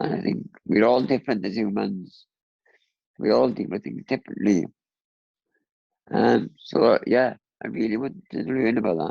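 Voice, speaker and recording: Vocal fry marks this man's fairly low voice as he speaks at a moderate pace with long, frequent pauses. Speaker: cancer patient and charity fundraiser. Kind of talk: interview. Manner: halting.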